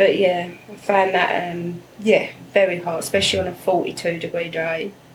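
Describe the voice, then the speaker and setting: In an English accent, a woman speaks fairly quickly and fairly low with monotone, flat intonation, amid noticeable background noise and audible room echo. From England. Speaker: immigrant guest. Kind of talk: interview.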